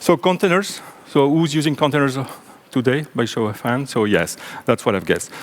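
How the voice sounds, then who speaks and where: A man with a French accent, fairly high in pitch, with lively intonation at a fairly quick pace. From French-speaking Belgium. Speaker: software engineer and conference speaker. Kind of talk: technical conference talk. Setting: stage with audience.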